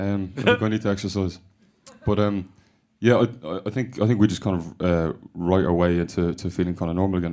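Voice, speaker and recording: Speaking very fast with a Dublin accent, a man has a very deep, low voice, a dark, mellow tone and fairly even intonation. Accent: Dublin Irish. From Ireland. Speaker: rock band member. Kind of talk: radio interview. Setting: radio studio. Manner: hesitant, many fillers. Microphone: voice booming back in studio monitors.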